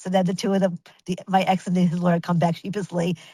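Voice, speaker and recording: A woman with a New York accent, recorded dry and close with no echo. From Brooklyn, New York. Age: 60s. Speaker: image consultant. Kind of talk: interview storytelling. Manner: animated; halting.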